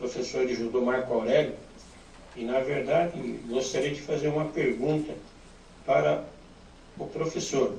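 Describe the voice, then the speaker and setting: A man speaks with ordinary pitch variation. Audible room echo and noticeable background noise accompany him. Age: 70s. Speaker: listener sending audio. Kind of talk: voice message.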